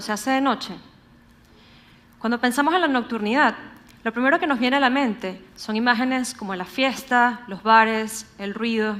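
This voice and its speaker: A woman with a Venezuelan accent and a high pitch. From Venezuela, Caracas. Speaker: urban researcher, public speaker. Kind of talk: conference talk.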